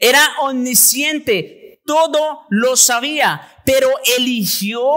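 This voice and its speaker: A man's raised, projected voice over a quiet background. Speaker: pastor. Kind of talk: sermon. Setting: church. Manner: formal, teacherly, expository; earnest, emphatic.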